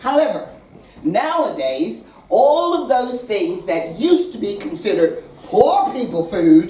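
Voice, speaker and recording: A woman with an American accent speaks at a fairly slow pace, her high voice swinging very widely in pitch. Noticeable background noise and audible room echo fill the recording. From USA. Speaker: chef. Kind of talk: speech to diners; casual vlog talk. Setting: restaurant with audience. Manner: animated.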